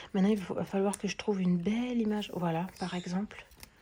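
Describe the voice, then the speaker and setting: A woman's dark, mellow, somewhat breathy voice in a flat monotone. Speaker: colouring vlogger. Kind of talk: casual vlog chat. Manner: hesitant, many fillers; soft-spoken.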